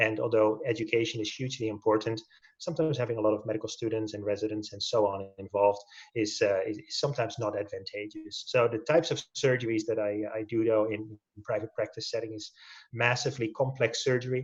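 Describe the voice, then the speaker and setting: Speaking very fast with a Dutch accent, a man uses a medium pitch, a somewhat breathy tone and fairly even intonation. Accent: Dutch, noticeable. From Netherlands. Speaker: orthopedic spine surgeon. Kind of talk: webinar presentation. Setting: video webinar.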